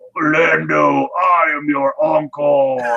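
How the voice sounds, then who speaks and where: A put-on character voice from a man, pitched fairly high. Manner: menacing, growling.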